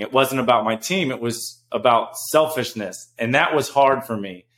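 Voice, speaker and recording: A man talks in a normal speaking voice at medium pitch. His pace is moderate and his pitch varies in an ordinary way. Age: 30s. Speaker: former pro basketball player. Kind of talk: casual chat.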